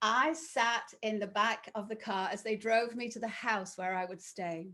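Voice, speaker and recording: A woman speaking at a moderate pace. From northern England, Sheffield. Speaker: professional trainer and author. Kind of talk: webinar talk. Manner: clear, well-enunciated.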